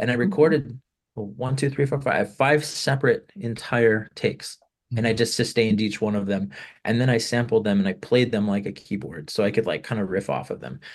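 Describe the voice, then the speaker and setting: A man with an American accent speaks at a fairly quick pace with lively intonation. His medium-pitched voice carries vocal fry. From California. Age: 30s. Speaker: musician. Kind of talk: interview. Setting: video call.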